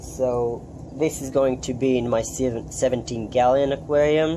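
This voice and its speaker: Someone with a non-native accent speaks at a very slow pace with ordinary pitch variation. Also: man. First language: not English. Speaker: aquarium hobbyist youtuber. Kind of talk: casual video update. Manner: halting, many ums.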